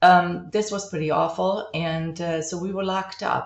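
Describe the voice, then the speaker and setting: Speaking at a moderate pace with a German accent, a woman keeps a fairly low pitch and fairly even intonation. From East Germany (Halle, Dresden). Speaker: college instructor, art historian. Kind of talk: recorded class introduction lecture.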